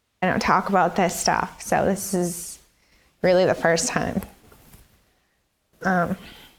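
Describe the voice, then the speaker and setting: A woman speaks at a fairly slow pace, leaving long, frequent pauses. Her intonation is monotone and flat, and her loudness stays very even. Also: medium pitch for a woman. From New Hampshire, Nashua. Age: 20s. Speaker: prison inmate. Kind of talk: interview testimony. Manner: halting, hesitant.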